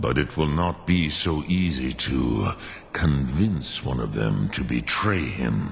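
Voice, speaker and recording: A man performs a put-on character voice with a very deep, low pitch. Clear background noise can be heard. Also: fairly slow pace. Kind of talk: ceremonial, ancient speech mixed with dragon words. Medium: video game. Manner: slow, archaic, measured.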